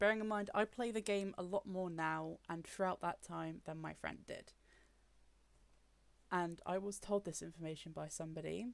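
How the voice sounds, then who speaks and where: At a moderate pace, a woman speaks with a British accent. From UK. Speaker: gaming YouTuber. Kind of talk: personal commentary. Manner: frustrated, emphatic.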